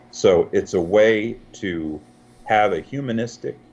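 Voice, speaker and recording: Noticeable background noise is heard behind a man speaking. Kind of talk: interview answer.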